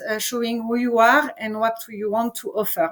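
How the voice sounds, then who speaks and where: With a French accent, a woman speaks at a fairly high pitch. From France. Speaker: entrepreneur and presenter. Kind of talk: online presentation. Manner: halting, many fillers.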